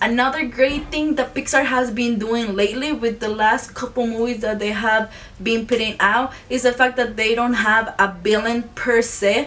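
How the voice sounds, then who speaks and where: Noticeable background noise sits behind a woman with a non-native accent and a fairly high voice. She keeps a moderate pace with hardly any pauses and fairly even intonation. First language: not English. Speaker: YouTuber, film reviewer. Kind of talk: casual video review. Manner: halting, self-correcting.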